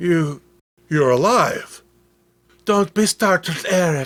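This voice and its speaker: Putting on a character voice, a man speaks at a very slow pace in a high pitch. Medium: read story. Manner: soft, tender.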